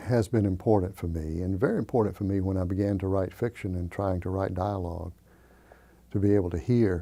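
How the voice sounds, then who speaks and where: Speaking with a Southern US accent, a man has a very deep, low pitch. His tone is dark and mellow. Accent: Southern US (Georgia). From US South, Georgia. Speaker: poet and novelist. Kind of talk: interview. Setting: library.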